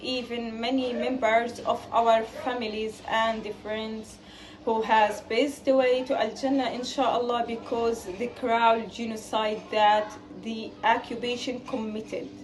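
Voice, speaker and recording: Against noticeable background noise and audible room echo, a woman with a fairly high pitch speaks very slowly with fairly even intonation. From Gaza, Palestine. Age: 20s. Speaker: student appealing for fundraising support. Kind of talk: personal testimony appeal.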